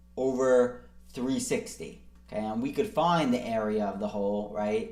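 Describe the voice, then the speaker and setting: The tone is dark and mellow, with very wide pitch swings at a fairly slow pace. Room echo is audible. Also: man. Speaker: math tutor. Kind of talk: tutorial.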